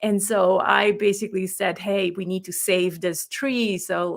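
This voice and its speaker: A woman speaks with a non-native accent. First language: not English. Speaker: business coach and author. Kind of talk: interview conversation. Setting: live online interview.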